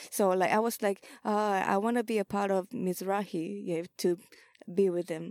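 In a Japanese accent, a woman speaks at a medium pitch and a fairly slow pace. Her intonation stays fairly even, and the sound is dry and close with no echo. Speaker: ballroom house mother and vogue dancer. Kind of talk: casual interview. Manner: halting.

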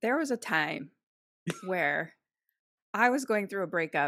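A fairly slow pace in an American accent. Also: woman. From Philadelphia, US East Coast. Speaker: podcaster and actor. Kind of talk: casual chat.

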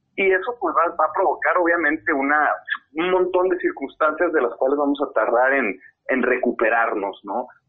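A man speaks with a fairly high pitch, very even loudness and lively intonation. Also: moderate pace. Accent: Mexican. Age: 30s. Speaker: fintech CEO. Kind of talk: interview. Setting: at home.

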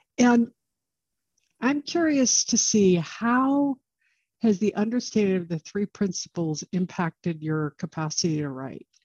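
A woman talks at a fairly slow pace in a somewhat breathy voice. Her pitch swings very widely. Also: medium pitch for a woman. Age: old. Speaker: podcast host and coach. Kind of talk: casual interview chat.

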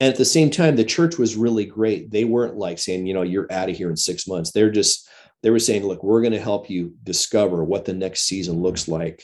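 In a plain, everyday voice, a man talks at a fairly quick pace with a fairly low pitch and lively intonation, against a quiet background. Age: 50s. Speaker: pastor and former worship leader. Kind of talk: casual chat.

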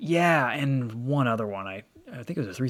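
With an American accent, a man talks at a moderate pace in a normal speaking voice. His intonation is lively. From Michigan. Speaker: automotive YouTuber and car reviewer. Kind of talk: casual chat.

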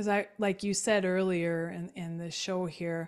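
At a fairly slow pace, a woman with a fairly low pitch speaks with fairly even intonation. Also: very clean recording, silent background. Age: 50s. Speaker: business advisor. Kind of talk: interview.

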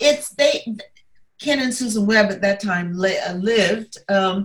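This woman has an American accent and a fairly high pitch. Her voice is somewhat breathy. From US South, Atlanta. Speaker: civil rights movement figure. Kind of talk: interview. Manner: halting.

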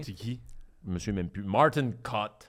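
A man with a Quebec accent speaks with lively intonation on a very clean recording with a silent background. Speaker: podcast host and comedian. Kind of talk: casual chat. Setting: studio.

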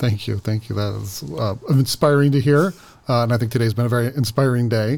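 A man's voice at a medium pitch, with ordinary pitch variation and a plain, everyday voice. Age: 40s. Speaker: school district administrator. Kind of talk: interview.

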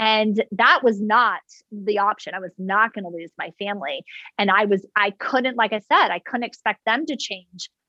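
In a dry, close recording with no echo, a woman speaks energetically at a moderate pace, her fairly high pitch showing ordinary variation, her tone bright and sharp, and her loudness swinging widely. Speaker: author and mom advocate. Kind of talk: interview.

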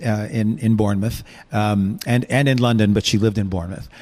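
This man has an ordinary speaking voice, medium in pitch and delivered at a fairly quick pace. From US Northeast (Buffalo, New York), born in England. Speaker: singer and entertainer. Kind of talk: casual chat. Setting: studio.

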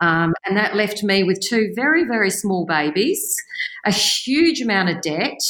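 A woman talks with an Australian accent. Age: 50s. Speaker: real estate agency owner. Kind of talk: interview. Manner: animated.

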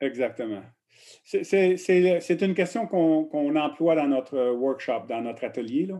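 A man speaks at a very slow pace in a fairly high pitch, his tone dark and mellow, against a quiet background. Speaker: coaching researcher. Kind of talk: interview. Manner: halting, repeats words.

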